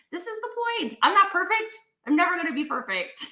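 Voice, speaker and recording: A woman's raised, projected voice in a Canadian accent, with an animated tone. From Canada. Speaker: talk show host. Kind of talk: casual live-stream conversation.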